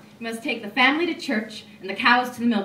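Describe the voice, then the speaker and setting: Lively intonation at a moderate pace, over noticeable background noise. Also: woman. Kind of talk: poetry reading.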